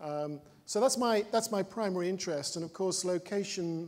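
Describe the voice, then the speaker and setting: This is a man speaking. He has a slight British accent. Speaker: panel moderator. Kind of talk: panel discussion. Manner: hesitant, many fillers.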